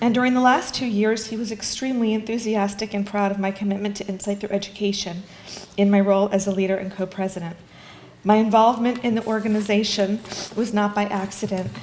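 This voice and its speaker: Very fast, monotone, flat speech comes through audible room echo and noticeable background noise. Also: woman, medium pitch for a woman. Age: 60s. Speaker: bereaved daughter. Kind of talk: eulogy. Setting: funeral chapel service.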